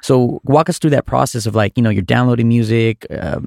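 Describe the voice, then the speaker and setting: Here is a man with a plain, everyday voice at a medium pitch, speaking at a fairly quick pace. The sound is dry and close with no echo. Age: 30s. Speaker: podcast host and DJ. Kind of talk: casual interview. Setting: recording studio.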